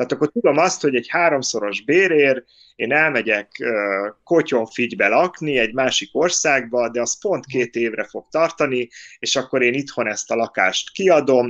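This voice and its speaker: A man with an unremarkable speaking voice talks at a moderate pace and medium pitch with ordinary pitch variation, in a dry, close sound with no echo. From Hungary. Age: 40s. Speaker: podcast co-host. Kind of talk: casual chat. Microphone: phone mic after laptop volume problems.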